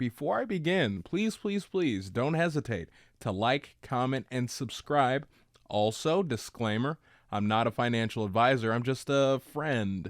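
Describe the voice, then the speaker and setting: A man at medium pitch speaks at a fairly slow pace with lively intonation. The recording is very clean and dry, close with no echo, over a silent background. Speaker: crypto YouTuber. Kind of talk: casual screen-share tutorial. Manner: animated, slang-heavy; stumbling over words.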